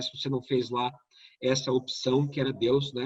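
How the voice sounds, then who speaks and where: Somewhat breathy, a man's voice sits at a fairly high pitch. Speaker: tax lawyer and lecturer. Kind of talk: online lecture. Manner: fast.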